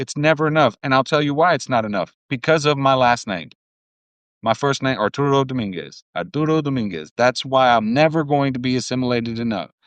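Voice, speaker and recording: A fairly high-pitched man with a Spanish accent, dry and close with no echo, over a quiet background. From US, Cuban family. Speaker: podcast host. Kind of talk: casual chat. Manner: animated.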